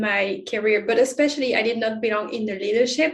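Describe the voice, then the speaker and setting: A woman's fairly high-pitched voice with a French accent. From France. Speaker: inclusion expert and author. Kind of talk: interview.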